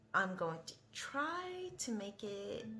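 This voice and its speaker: A woman's medium-pitched voice with lively intonation, noticeable background noise and audible room echo. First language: not English. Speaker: vlogger. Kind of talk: casual vlog monologue. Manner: rambling, hesitant with many fillers.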